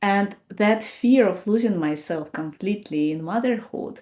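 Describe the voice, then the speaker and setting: A woman with a non-native accent speaks at a fairly slow pace. Her pitch is medium with ordinary variation, and her tone is dark and mellow. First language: not English. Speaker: podcast host. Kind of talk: personal reflection talk.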